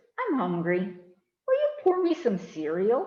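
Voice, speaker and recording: A female-sounding voice sits at a high pitch. It is a put-on character voice. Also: fairly slow pace. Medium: read story. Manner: coaxing, slow, evasive.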